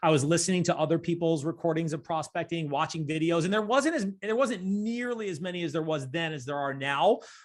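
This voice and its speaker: A man's plain, everyday voice, fairly high in pitch with ordinary pitch variation, at a fairly quick pace against a quiet background. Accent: American. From Rochester, New York. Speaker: real estate team owner. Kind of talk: interview.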